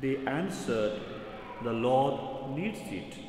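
Audible room echo and light background noise surround a man who speaks at a very slow pace. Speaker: priest. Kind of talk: scripture reading at mass. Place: church. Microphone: podium.

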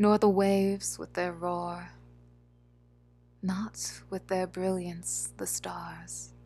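Music plays in the background as a soft-spoken woman talks at a very slow pace. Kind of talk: poetry reading.

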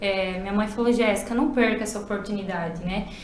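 A woman's fairly even intonation in audible room echo. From southern Brazil. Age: 20s. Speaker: beauty pageant contestant. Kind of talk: casual interview. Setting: studio. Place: meeting room.

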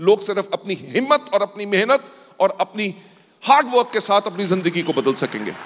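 A man speaks in a high pitch at a moderate pace, his pitch varying in an ordinary way. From Delhi, India. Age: 50s. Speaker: business founder. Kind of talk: motivational talk. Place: hall. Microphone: handheld.

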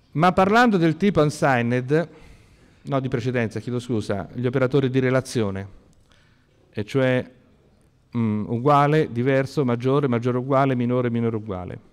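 A man at medium pitch with ordinary pitch variation, a moderate pace and long, frequent pauses. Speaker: university lecturer. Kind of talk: lecture. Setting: classroom lecture, seated with two microphones.

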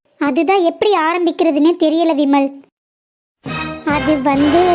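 Faint music plays behind a woman doing a cartoonish character voice. It is extremely high-pitched and comes at a fairly slow pace.

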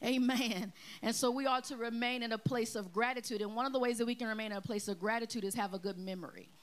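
Very fast and animated, a woman speaks with a fairly high pitch. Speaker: pastor; preacher. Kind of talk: sermon. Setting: church. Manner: animated, call-and-response preaching. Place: church. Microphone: handheld.

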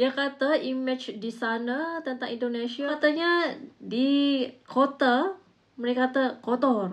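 A woman with a high-pitched voice talks at a moderate pace in an animated tone, her pitch varying in an ordinary way. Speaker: reaction video host. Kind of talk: casual video commentary. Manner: chatty, animated. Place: home room. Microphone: lapel.

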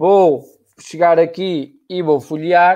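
A man is speaking. The background is quiet. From Portugal. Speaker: live show host. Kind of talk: live interview. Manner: energetic. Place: home room. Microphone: video call.

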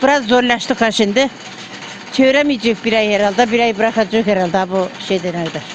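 Over noticeable background noise, a woman talks at a fairly quick pace and fairly high pitch with ordinary pitch variation. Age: 80s+. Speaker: village miller. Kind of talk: interview answer.

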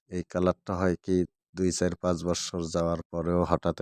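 A man with a very deep, low pitch is heard on a very clean recording with a silent background. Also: dry, close sound with no echo. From Bangladesh, Kurigram (Rangpur). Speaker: ceiling craftsman and vlogger. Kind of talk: casual video blog. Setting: work site.

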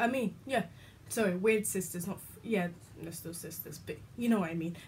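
A woman with a British accent speaks at medium pitch in a somewhat breathy voice over light background noise. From UK. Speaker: YouTuber; vlogger. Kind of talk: casual vlog chat. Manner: rambling, halting. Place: home room. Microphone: phone near.

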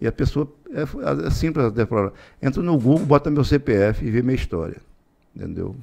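Lively intonation in a dark, mellow tone over a quiet background. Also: man. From Tocantins, Brazil. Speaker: politician and businessman; politician. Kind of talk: interview; interview answer. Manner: halting, repeats words. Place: studio. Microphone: studio mic.

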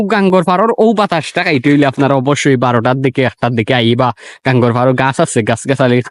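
In a Sylheti accent, a man at medium pitch speaks with ordinary pitch variation and very even loudness, the sound dry and close with no echo. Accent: Sylheti Bengali. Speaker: vlogger. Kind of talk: casual vlog. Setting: outdoors by a river.

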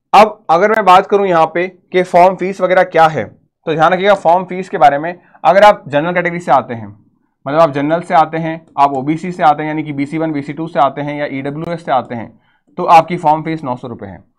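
Against a quiet background, a man talks at a moderate pace. His loudness swings a lot. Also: ordinary pitch variation. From India. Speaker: nursing entrance exam coach. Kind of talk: educational tutorial video. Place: classroom. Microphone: lapel.

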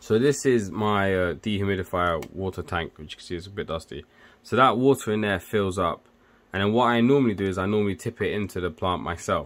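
Speaking at a fairly quick pace, a man has an unremarkable speaking voice, fairly low in pitch with ordinary pitch variation. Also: big swings in loudness. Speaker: electrical engineer and tech video maker. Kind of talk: casual tutorial. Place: home room.

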